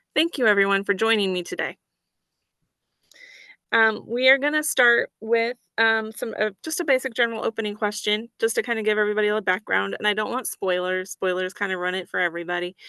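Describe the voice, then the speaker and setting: Over a quiet background, a bright, sharp voice with a Midwestern American accent moves at a fairly quick pace in a dry, close sound with no echo. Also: woman, fairly high pitch for a woman. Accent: flat Midwestern American. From American Midwest. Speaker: panel moderator at a book event.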